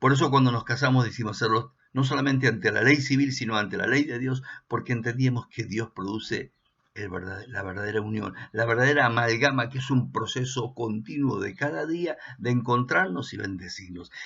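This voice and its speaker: A man with an Argentine accent speaks at a moderate pace and medium pitch, with ordinary pitch variation. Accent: Argentine Spanish (voseo). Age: 60s. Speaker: pastor. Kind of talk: sermon.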